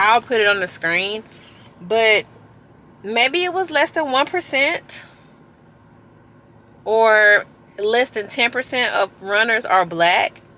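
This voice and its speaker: A loud woman with a fairly high pitch and a bright, sharp tone swings her pitch very widely. She talks at a very slow pace with long, frequent pauses. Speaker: fitness vlogger. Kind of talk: casual vlog talk.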